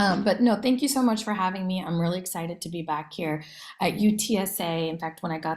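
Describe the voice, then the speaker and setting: A woman with a plain, everyday voice and an American accent, fairly low in pitch, at a fairly quick pace with ordinary pitch variation. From US Midwest, Iowa. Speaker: education nonprofit director. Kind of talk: career talk presentation.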